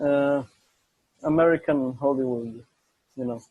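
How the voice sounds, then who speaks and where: With an Israeli accent, a man speaks at a medium pitch in a dark, mellow tone with monotone, flat intonation. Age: young. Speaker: interview guest. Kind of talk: casual chat.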